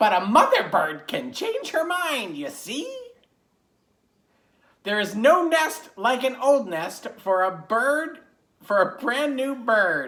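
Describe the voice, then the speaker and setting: In a put-on character voice, a female-sounding speaker talks fairly slowly at a high pitch. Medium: read story. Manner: emphatic storybook reading.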